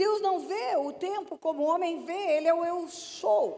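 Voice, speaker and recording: A woman speaks at a fairly slow pace in an extremely high pitch, with a dark, mellow tone and ordinary pitch variation. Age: 70s. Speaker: pastor. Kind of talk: sermon. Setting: church.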